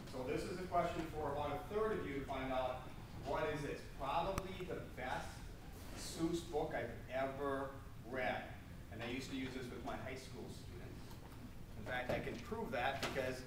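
Amid noticeable background noise and audible room echo, a man speaks at a moderate pace with ordinary pitch variation and long, frequent pauses. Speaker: keynote speaker. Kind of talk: lecture. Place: hall. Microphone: camera far.

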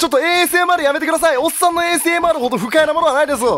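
An extremely high-pitched man speaks in a raised, projected voice with an energetic tone, ordinary pitch variation and a very fast pace, over noticeable background noise. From Kansai, Japan. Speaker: game streamer. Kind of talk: gameplay commentary. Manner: loud, energetic.

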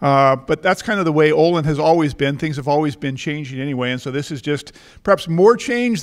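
A man talks very fast with ordinary pitch variation, and the background is quiet. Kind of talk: welcome speech. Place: hall. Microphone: handheld.

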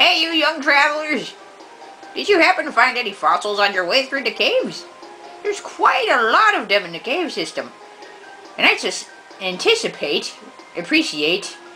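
A man performs a put-on character voice, raised and projected. Clear music plays in the background. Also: moderate pace. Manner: friendly, polite.

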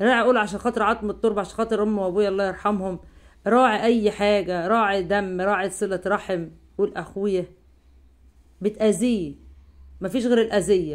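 At a moderate pace and with fairly even intonation, an ordinary speaking voice comes through on a very clean recording with a silent background. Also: woman, medium pitch for a woman. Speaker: YouTube commentary channel host. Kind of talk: monologue video commentary.

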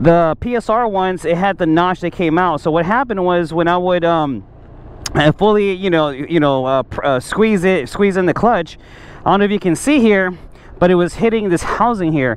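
A man speaks at a moderate pace in a high voice, with ordinary pitch variation, very even loudness and a dry sound with no echo. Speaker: motorcycle rider reviewing parts. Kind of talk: casual product review. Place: street. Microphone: helmet.

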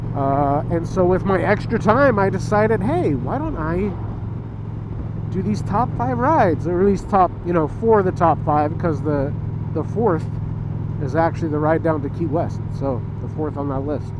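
A man talks at a moderate pace, leaving long, frequent pauses. The sound is dry with no echo, and there is noticeable background noise. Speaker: motorcycle vlogger. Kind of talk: casual vlog chat. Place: motorbike. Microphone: helmet.

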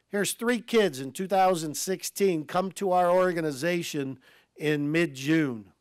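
A man with a Midwestern American accent speaks at a very slow pace in a high voice with ordinary pitch variation. The background is quiet and the sound is dry, with no echo. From Ohio, Lakewood; Ohio. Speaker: baseball team executive; guest. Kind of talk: speech to club meeting. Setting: stage with audience. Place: hall. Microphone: podium.

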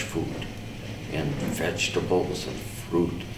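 Noticeable noise runs in the background. Over it, a man talks. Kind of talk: interview answer. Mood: calm reflective. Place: empty room.

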